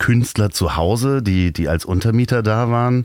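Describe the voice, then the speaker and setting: A man talks at a very slow pace, his pitch varying in an ordinary way. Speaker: podcast host. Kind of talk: casual interview. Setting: parked camper van. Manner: upbeat announcer-like.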